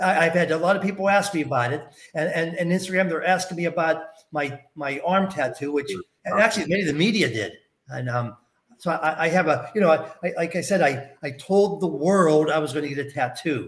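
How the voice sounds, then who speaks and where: With ordinary pitch variation, a man talks at a fairly quick pace in a fairly high voice. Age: 60s. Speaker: game show contestant. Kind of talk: casual chat. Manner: halting.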